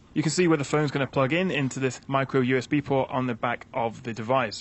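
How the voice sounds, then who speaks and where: A man talks at a very fast pace in a British accent. His pitch varies in an ordinary way. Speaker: tech reviewer. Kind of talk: product review and setup tutorial.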